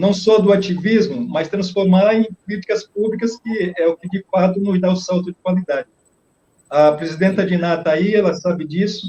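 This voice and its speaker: A man with a high pitch and a dark, mellow tone talks at a moderate pace with fairly even intonation, and the sound is dry and close with no echo. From Brazilian Northeast, Bahia countryside. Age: old. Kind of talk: radio interview.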